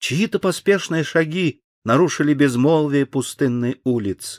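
At a very slow pace, the voice uses lively intonation, recorded dry and close with no echo on a very clean recording with a silent background. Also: man. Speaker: actor reading an audiobook. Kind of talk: audiobook narration of a children's story.

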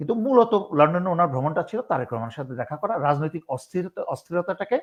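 Over a quiet background, a man speaks with a high pitch and lively intonation. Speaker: retired army officer and political commentator. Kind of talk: political interview commentary.

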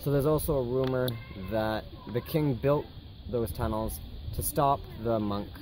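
With ordinary pitch variation and a moderate pace, the voice comes through a dry sound with no echo and light background noise. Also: man. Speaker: travel vlogger. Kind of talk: casual vlog chat. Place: open country. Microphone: phone near.

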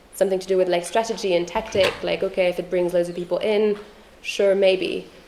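Over noticeable background noise, a woman speaks at a medium pitch with monotone, flat intonation. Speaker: activist and researcher. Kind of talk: lecture. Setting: stage with audience. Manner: hesitant, many fillers.

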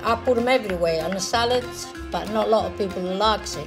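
Clear background music behind a speaking woman. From Italy, rural Lazio. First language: Italian. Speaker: grandmother home cook. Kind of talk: casual talk to camera in cooking ad. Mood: warm, cheerful. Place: kitchen.

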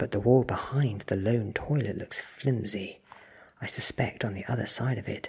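The pitch moves in an ordinary way through this natural reading voice.

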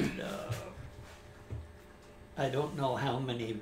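Over music in the background, a man with an American accent speaks fairly slowly at a fairly high pitch. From Oregon. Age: 80s+. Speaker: war veteran, merchant seaman. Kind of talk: interview answer.

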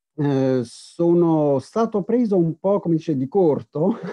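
A man at a fairly high pitch with lively intonation. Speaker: historian. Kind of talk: academic lecture. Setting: video call. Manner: hesitant, many fillers.

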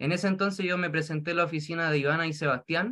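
Over a quiet background, a man with a Chilean accent talks at a very fast pace in a high pitch. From rural Chile. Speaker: direct seller. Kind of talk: testimony. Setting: video call. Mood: grateful, upbeat. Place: home room. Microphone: video call.

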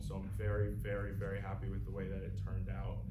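A man is speaking. Music plays in the background. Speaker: actor answering audience questions. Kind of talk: interview answer. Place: hall. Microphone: camera far.

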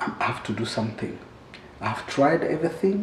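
Room echo can be heard as a man talks at a moderate tempo. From Rwanda. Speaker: musician, genocide survivor; interview guest. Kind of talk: testimony. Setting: studio. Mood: earnest, reflective. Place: home room.

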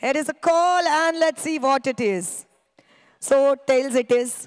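On a very clean recording with a silent background, a woman speaks in a high pitch with ordinary pitch variation. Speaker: match presenter and commentator. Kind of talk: live cricket commentary mixed with toss and award presentation. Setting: outdoors at a cricket ground.

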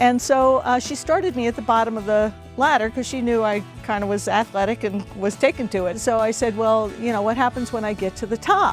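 The speech moves at a fairly quick pace with fairly even intonation, the sound dry with no echo while clear music plays in the background. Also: woman. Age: 60s. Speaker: racquetball player. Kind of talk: interview answer. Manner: casual, conversational. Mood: warm, enthusiastic. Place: garden.

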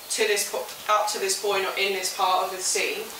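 Speaking at a fairly quick pace, a woman comes through with audible room echo and light background noise. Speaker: teacher. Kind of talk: lecture. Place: classroom. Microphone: camera far.

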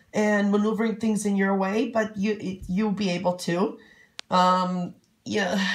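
A woman speaks at a fairly slow pace in a warm, somewhat breathy tone. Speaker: psychic reader. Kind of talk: fortune-telling reading to camera. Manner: rambling, many fillers; warm, chatty.

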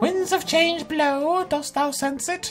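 A put-on character voice, high-pitched and solemn in tone, at a fairly slow pace over clear background noise. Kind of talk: archaic, old-fashioned. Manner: mystical, solemn.

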